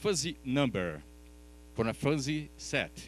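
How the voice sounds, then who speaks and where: The pace here is fairly slow. It comes from a man with a non-native accent. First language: Portuguese. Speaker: professor. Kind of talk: conference talk. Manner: halting, with fillers and restarts.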